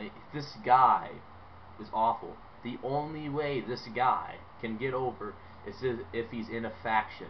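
Pausing long and often, a man speaks at a fairly slow pace with big swings in loudness, ordinary pitch variation and light background noise. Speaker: wrestling fan YouTuber. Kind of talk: angry rant; opinionated video commentary. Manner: emphatic, repetitive, dismissive; loud, sarcastic, animated. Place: home room. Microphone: webcam.

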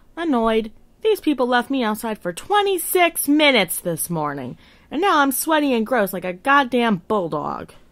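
Put-on character voice, female-sounding and high-pitched, at a moderate pace with very wide pitch swings. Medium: short film. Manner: blunt, irritated, matter-of-fact.

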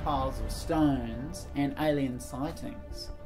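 Clear music sounds in the background. Over it, a man talks. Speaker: presenter. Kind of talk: casual vlog chat.

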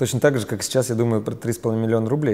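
With a dark, mellow tone, a man talks using fairly even intonation. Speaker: business trainer and company founder. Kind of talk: interview. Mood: relaxed, smiling. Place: studio. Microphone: lapel.

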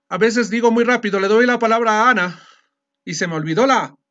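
A man speaks with lively intonation at a moderate pace, the background quiet. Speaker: teacher. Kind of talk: lecture. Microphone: video call.

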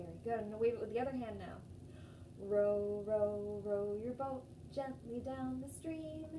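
This is a woman's voice. Noticeable background noise runs underneath. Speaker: storytime host. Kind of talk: children's storytime and singing. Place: home room. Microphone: phone near.

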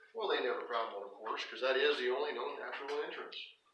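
A man talks at a very fast pace, with light background noise and audible room echo. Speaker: cave tour guide. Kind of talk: storytelling tour narration. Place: tunnel cave. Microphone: camera far.

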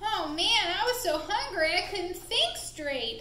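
A woman does a cartoonish character voice at an extremely high pitch and a fairly slow pace, with clear background noise. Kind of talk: children's puppet show storytelling. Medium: puppet show. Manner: blustery and threatening, surprised at his own success.

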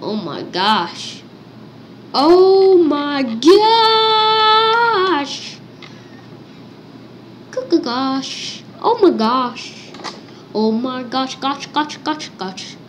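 In a put-on character voice, a woman speaks at a very slow pace and a high pitch, with very wide pitch swings, long and frequent pauses, and clear background noise behind her. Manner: excited, repetitive.

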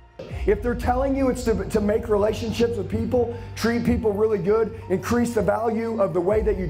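The tone is intense and the pace moderate. Noticeable background noise runs under the voice. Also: man. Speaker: sales trainer and motivational speaker. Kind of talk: live motivational speech to a sales audience. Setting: live training room with an audience. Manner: direct, forceful, intense, blunt.

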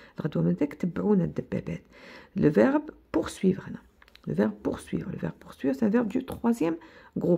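Taking a fairly slow pace, a woman talks with a quiet background behind her. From Algeria. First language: Algerian Arabic (speaking French). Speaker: teacher. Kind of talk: lecture; tutorial. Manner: code-switching Arabic and French; halting, repetitive. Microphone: phone near.

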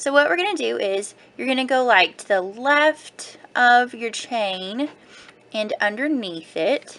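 Over noticeable background noise, a woman speaks fairly slowly in a high pitch, with lively intonation and big swings in loudness. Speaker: crafting blogger. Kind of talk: tutorial. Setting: home video recording. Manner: casual, rambling.

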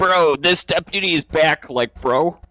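A put-on character voice from a man, fairly high in pitch, at a moderate pace. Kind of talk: casual roleplay banter, street interview questions. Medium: game stream. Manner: insistent, goofy, says bro constantly. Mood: uneasy aside.

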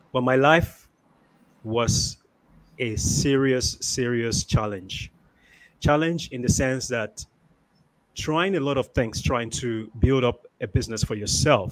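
Speaking at a very slow pace with long, frequent pauses, a man shows ordinary pitch variation. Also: medium pitch for a man. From Nigeria. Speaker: IT professional and online business owner; interview guest. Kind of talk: interview. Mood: earnest, reflective. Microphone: studio mic.

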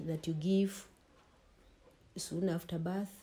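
Over light background noise, a woman speaks fairly slowly in a somewhat breathy, fairly low-pitched voice. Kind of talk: interview answer. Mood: calm, explanatory. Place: home room.

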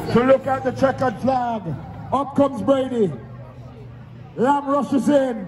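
Crowd noise fills the background as a man speaks at a fairly slow pace. His pitch is extremely high, with ordinary pitch variation. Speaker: race commentator. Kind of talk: commentary. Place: stadium.

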